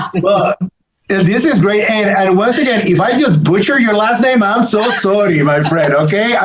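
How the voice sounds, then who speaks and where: A man with a Puerto Rican accent, high pitch, lively intonation, very even loudness and a moderate pace. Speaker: panel moderator, interviewer. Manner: casual, friendly, many filler words.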